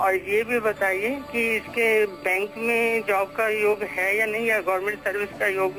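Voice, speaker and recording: Over noticeable background noise, a woman speaks at medium pitch with fairly even intonation, very even loudness and hardly any pauses. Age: 60s. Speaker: caller. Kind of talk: phone-in question.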